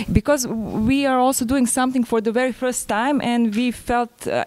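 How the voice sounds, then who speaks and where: At a moderate pace, a high-pitched woman speaks with fairly even intonation, her sound dry and close with no echo despite noticeable background noise. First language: not English. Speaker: artist, gallery organizer. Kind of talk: seminar discussion. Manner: halting.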